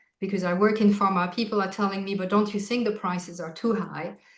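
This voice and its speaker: A woman with a French accent speaks fairly quickly at a medium pitch. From France, Alsace. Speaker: healthcare executive. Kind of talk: interview conversation.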